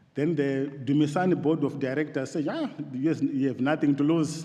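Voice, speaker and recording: A fairly high-pitched man with an African accent, at a moderate pace with fairly even intonation, amid audible room echo and noticeable background noise. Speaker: theological college principal. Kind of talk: formal address to church assembly. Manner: halting.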